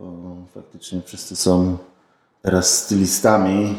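A man with a very deep, low pitch, a fairly slow pace and monotone, flat intonation. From Poznań, Poland. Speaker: podcaster. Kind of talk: casual chat.

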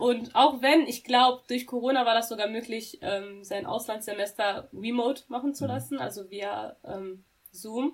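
Here is a woman with an unremarkable speaking voice and a fairly high pitch. She goes at a fairly slow pace with ordinary pitch variation. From Germany, Dortmund (Ruhr area). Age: 20s. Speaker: university student. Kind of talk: interview.

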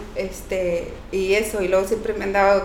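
A woman at medium pitch, fairly slow and monotone with flat intonation, with noticeable background noise and audible room echo. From Mexico, Oaxaca. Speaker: cleaning business owner. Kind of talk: casual interview chat.

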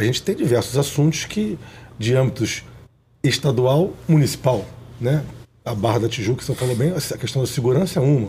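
A man speaks at a medium pitch with a dark, mellow tone and a somewhat breathy quality. He keeps a moderate pace and ordinary pitch variation. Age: 40s. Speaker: businessman and political candidate. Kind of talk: interview.

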